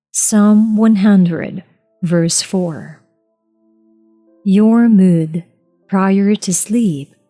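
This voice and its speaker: Music plays in the background as a woman speaks at a very slow pace, her medium pitch showing ordinary variation. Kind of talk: audiobook reading.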